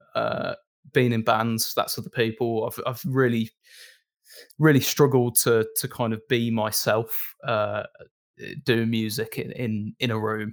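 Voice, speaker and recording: A man with a Brummie accent speaks with fairly even intonation and long, frequent pauses. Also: medium pitch for a man, fairly slow pace, very clean recording, silent background. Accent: Brummie (Birmingham English). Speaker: video post-production lead and musician. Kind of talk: casual interview chat. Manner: monotone; hesitant, many fillers.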